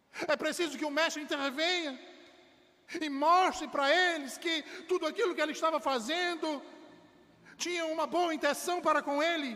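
With a raised, projected voice at an extremely high pitch, a man speaks at a moderate pace with fairly even intonation and long, frequent pauses. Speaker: preacher. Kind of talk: sermon delivered to a congregation, exhortative pulpit preaching. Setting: church. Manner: earnest, emphatic, fervent, building to firm declarations about salvation.

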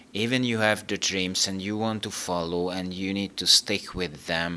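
Speaking at a fairly slow pace, a man uses a very deep, low pitch with a bright, sharp tone. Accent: Hungarian. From Hungary. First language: Hungarian. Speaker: operations manager, engineer. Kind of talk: interview. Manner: halting.

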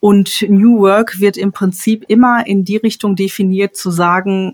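A woman talks at a fairly slow pace in a medium pitch. Her intonation stays fairly even. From Ruhr area, Dortmund (Germany). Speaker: elderly care manager and consultant. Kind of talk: podcast interview.

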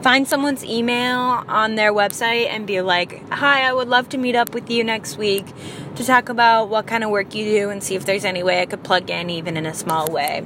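Against noticeable background noise, a woman speaks fairly quickly at a fairly high pitch with ordinary pitch variation. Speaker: podcast host. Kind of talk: casual monologue. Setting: in a car. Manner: halting.

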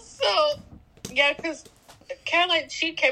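A woman speaks with an American accent. Her voice is raised and projected. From Los Angeles, US. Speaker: podcast co-host. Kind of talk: casual chat. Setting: video call.

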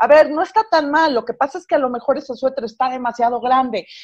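A woman's high-pitched voice with lively intonation, at a fairly quick pace against a quiet background. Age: 40s. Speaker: radio host and writer. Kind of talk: casual chat.

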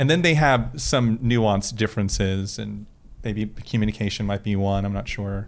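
With an American accent, a man speaks at a fairly low pitch in a plain, everyday voice with ordinary pitch variation, on a very clean recording with a silent background. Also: moderate pace. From Florida. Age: 40s. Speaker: podcast guest, professional talker. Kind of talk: casual interview.

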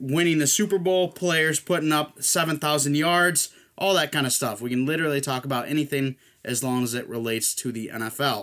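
With a normal speaking voice, a man talks at a moderate pace and a fairly high pitch, using ordinary pitch variation. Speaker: podcast host. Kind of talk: casual sports chat.

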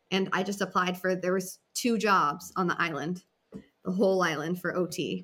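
A woman with an American accent speaks at a moderate pace and a medium pitch. Her tone is bright and sharp, and her intonation stays fairly even. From Massachusetts. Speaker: occupational therapist. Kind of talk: casual chat.

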